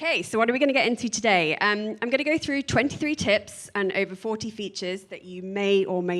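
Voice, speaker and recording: A woman with a British accent talks at a fairly quick pace. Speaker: product manager. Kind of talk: conference talk.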